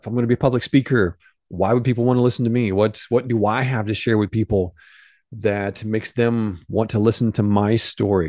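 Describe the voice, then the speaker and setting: Over a quiet background, a man with a dark, mellow tone talks fairly quickly at medium pitch. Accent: Midwestern American. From US Midwest, southern Illinois. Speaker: podcast host, mindset coach. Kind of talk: motivational monologue. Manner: casual, animated.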